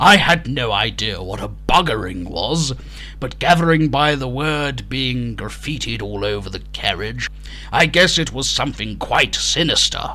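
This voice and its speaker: A man talks at a moderate pace. Clear background noise runs underneath. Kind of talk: comic storytelling. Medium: audio drama. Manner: deadpan, dry.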